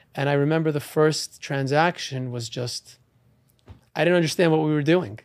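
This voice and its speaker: An unremarkable speaking voice from a man with an American accent, fairly high in pitch, with ordinary pitch variation at a moderate pace. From New York, Long Island. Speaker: real estate auctioneer and attorney. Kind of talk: interview.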